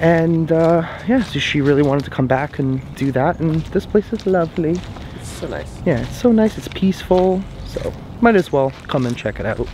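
The speech moves at a moderate pace, with a dry sound with no echo and light background noise. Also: man. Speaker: travel vlogger. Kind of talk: casual vlog chat. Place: open country. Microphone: phone near.

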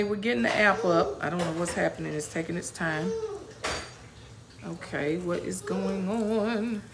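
A woman speaks at a moderate pace. Noticeable background noise runs underneath. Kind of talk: casual livestream chat. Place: home room. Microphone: phone near.

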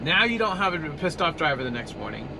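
A man's voice comes through with noticeable background noise. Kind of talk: casual vlog chat. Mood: frustrated but calm explaining. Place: car. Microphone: phone near.

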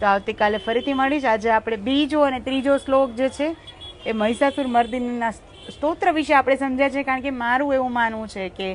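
A woman speaks in a high voice amid noticeable background noise. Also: ordinary pitch variation. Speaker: live-stream host. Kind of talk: devotional commentary and scripture explanation.

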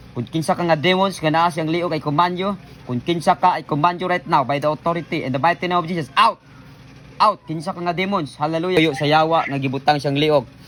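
There is noticeable background noise behind this man. He talks at a very fast pace with a fairly high pitch. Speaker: pastor leading healing prayer. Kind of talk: deliverance prayer. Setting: online video, praying over someone via camera. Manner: loud, forceful commanding shouts; fervent, repetitive, animated.

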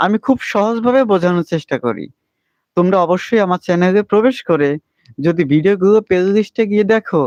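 The voice keeps a very even loudness and ordinary pitch variation, heard in a dry, close sound with no echo. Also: man, high pitch for a man. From Bangladesh, Faridpur. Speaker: school teacher and YouTuber. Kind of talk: solo livestream talk to viewers. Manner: halting, with fillers.

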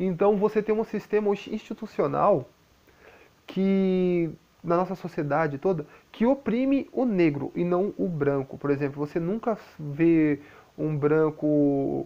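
Soft-spoken and very slow, a man talks at a high pitch with lively intonation. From Brazil. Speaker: YouTuber. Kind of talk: vlog monologue. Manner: soft-spoken, quiet. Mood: calm, explaining. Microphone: lapel.

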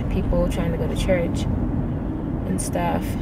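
A woman's voice over loud background noise. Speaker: vlogger. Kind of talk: casual vlog chat. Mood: mildly annoyed, relaxed. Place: car. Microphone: phone near.

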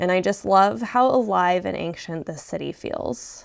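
A woman with an American accent on a very clean recording with a silent background. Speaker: vlogger. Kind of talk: travel vlog with haul narration. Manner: animated.

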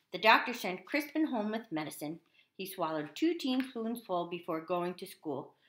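The speaker is reading aloud in a natural voice.

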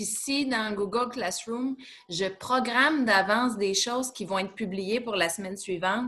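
This woman speaks at a moderate pace in a Quebec accent, her fairly high pitch showing ordinary variation and a bright, sharp tone. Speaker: teacher. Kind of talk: casual chat. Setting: video call. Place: home room. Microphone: webcam.

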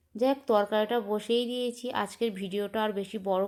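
A woman speaks in a fairly high voice. Her intonation stays flat and monotone. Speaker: lifestyle vlogger. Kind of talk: vlog narration. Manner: casual.

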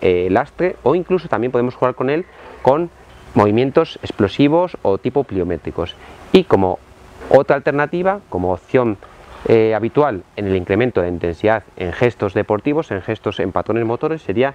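Recorded with a dry sound and no echo, a man talks at a moderate pace. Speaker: fitness trainer. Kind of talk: tutorial. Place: garden.

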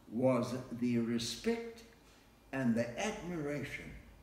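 A man talks at a very slow pace. Room echo is audible. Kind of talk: interview answer. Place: home room. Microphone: camera far.

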